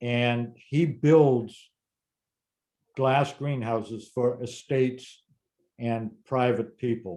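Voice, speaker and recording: Against a quiet background, a man with an American accent talks in a dark, mellow tone at a medium pitch with ordinary pitch variation. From Massachusetts, Lexington area; Massachusetts. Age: 70s. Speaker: gardening expert, former greenhouse grower; interviewee. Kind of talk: casual Q&A conversation; interview answer. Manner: halting, repeats words. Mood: thoughtful, recalling. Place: home room. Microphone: webcam.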